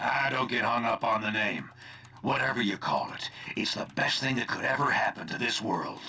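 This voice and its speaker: A man puts on a gruff character voice at a medium pitch, speaking at a moderate pace. His intonation stays fairly even over clear background noise. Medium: video game. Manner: gruff, folksy, casual slang.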